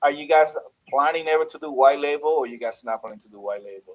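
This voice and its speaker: Pitched fairly high for a man, his voice shows ordinary pitch variation and big swings in loudness. He talks at a fairly quick pace. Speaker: business owner asking support questions. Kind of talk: tech support Q&A call. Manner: fast.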